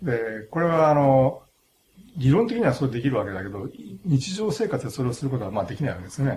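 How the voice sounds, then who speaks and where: Very fast and somewhat breathy, a man's voice carries a dark, mellow tone with very wide pitch swings. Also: medium pitch for a man. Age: 60s. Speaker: philosophy professor. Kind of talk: interview. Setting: studio. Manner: halting.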